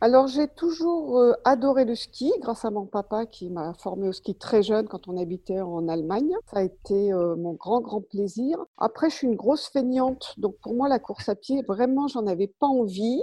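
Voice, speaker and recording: Dark and mellow in tone, a woman's fairly high voice moves at a moderate pace with hardly any pauses and lively intonation. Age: 60s. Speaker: retired anaesthesia nurse, race medical coordinator. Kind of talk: interview.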